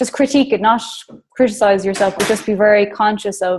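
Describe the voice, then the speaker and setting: Talking at a very fast pace, a woman speaks with an Irish accent. Her medium pitch holds a fairly even intonation. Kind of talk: casual chat.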